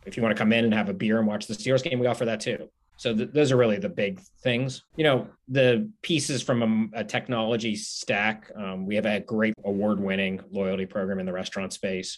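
A man speaks with a Pittsburgh accent. His pace is fairly quick. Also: fairly low pitch for a man, ordinary pitch variation. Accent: Western Pennsylvania (Pittsburgh). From Pittsburgh, Pennsylvania. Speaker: restaurant chain executive. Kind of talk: interview.

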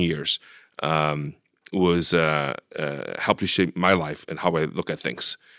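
Very deep and low in pitch, a man talks at a moderate pace with monotone, flat intonation. The recording is very clean with a silent background, and the sound is dry and close with no echo. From Taiwan, moved to Los Angeles at 13. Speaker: venture capitalist. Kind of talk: interview. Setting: office.

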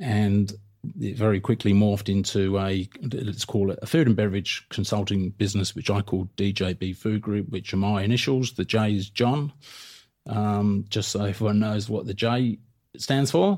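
In a southern English accent, a man speaks at a fairly low pitch and a moderate pace. His intonation is fairly even, and the recording is very clean with a silent background. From south coast of England. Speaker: podcast host and food business consultant. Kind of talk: solo podcast monologue. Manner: casual, filler-heavy.

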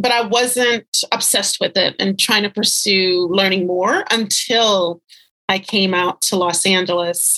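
A woman speaks at a moderate pace with a bright, sharp tone and fairly even intonation. The sound is dry and close with no echo. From Louisiana. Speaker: writer and editor. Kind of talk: interview.

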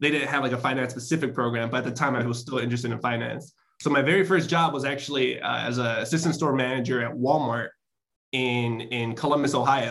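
Speaking at a very fast pace with a Chicago accent, a man keeps his intonation fairly even. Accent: Chicago American English. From Chicago South Side, US. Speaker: tech professional. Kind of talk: interview.

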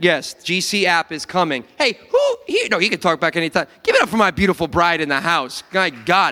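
A man with a high voice speaks at a fairly quick pace, barely pausing, his pitch varying in an ordinary way. His tone is animated, and there is noticeable background noise. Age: 30s. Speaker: pastor. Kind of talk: sermon.

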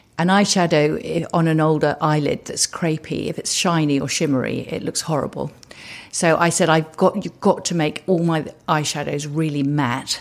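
Speaking with a southern English accent, a woman with a very deep, low pitch talks at a moderate pace in fairly even intonation. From England, Suffolk. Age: 70s. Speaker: entrepreneur. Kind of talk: interview. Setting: in person, Los Angeles.

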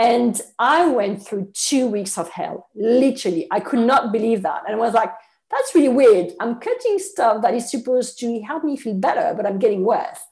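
A woman with a French accent speaks at a moderate pace in a fairly high voice with lively intonation and hardly any pauses. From France. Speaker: nutritionist. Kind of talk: interview.

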